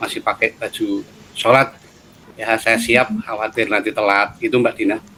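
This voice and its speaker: In a Javanese accent, a man talks at a moderate pace. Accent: Javanese accent, noticeable. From Central Java, Solo. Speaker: head of university study program. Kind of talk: interview.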